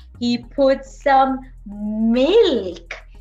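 A woman talks very slowly while faint music sits in the background. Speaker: storyteller for children. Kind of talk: animated children's story narration. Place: home room. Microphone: webcam.

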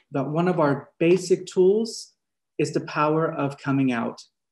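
The background stays quiet as a man talks at a moderate pace. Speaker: ministry co-leader hosting forum. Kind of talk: forum introduction. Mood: warm, welcoming. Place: home room. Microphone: webcam.

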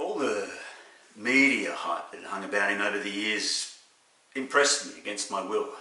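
Here a man speaks with an Australian accent at a moderate pace. Room echo can be heard. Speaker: actor. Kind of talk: dramatic monologue. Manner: animated, wry, comic timing with laughs. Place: home room. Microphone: webcam.

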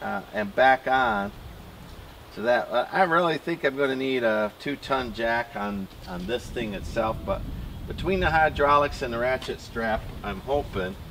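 Fairly slow pace over light background noise. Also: man. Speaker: landowner doing tractor repair. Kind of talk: casual vlog chat. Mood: puzzled, a bit dismayed. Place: forest.

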